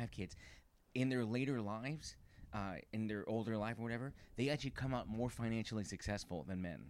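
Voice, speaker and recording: A man's plain, everyday voice at medium pitch and moderate pace, with ordinary pitch variation. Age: 30s. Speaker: comedian. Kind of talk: casual chat. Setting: at host's home.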